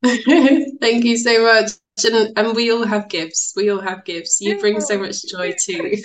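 Fairly slow delivery from a woman with a fairly high pitch and ordinary pitch variation. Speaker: podcaster and wellness practitioner. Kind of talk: interview conversation.

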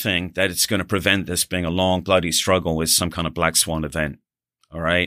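Against a silent background in a very clean recording, a man speaks with a very deep, low pitch and a bright, sharp tone. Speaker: retired marine colonel. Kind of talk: interview discussion. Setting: studio.

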